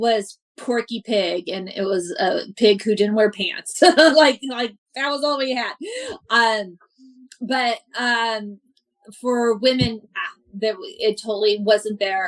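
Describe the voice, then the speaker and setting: A woman's fairly high voice at a very slow pace. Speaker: stand-up comedian. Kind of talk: interview answer. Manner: stutters.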